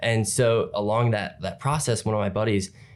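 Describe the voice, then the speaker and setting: A man with an American accent and a fairly low pitch, in a very clean recording with a silent background. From US Midwest, northwest Ohio. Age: 20s. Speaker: content creator. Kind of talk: casual interview.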